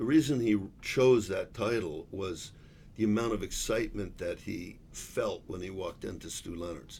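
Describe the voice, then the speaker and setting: A man with an American accent speaks at a moderate pace, somewhat breathy. His pitch is fairly low, with ordinary variation. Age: 60s. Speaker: business executive. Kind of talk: casual chat.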